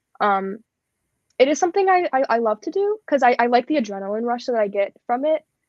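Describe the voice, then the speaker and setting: Speaking with an American accent, a woman talks at a fairly quick pace. Her pitch is high and swings very widely. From US Midwest (Cleveland, Ohio). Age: young (19). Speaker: singer-songwriter. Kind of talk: casual interview. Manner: halting.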